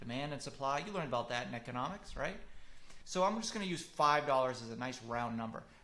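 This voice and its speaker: A man talks very fast in a fairly high voice with a bright, sharp tone, and audible room echo surrounds him. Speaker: marketing consultant for public adjusters. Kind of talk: webinar lecture. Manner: animated.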